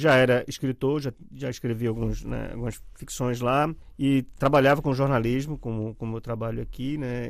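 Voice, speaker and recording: Speaking in an unremarkable speaking voice, a man keeps a medium pitch, a fairly slow pace and fairly even intonation. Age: 50s. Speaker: journalist and writer. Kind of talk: casual interview chat.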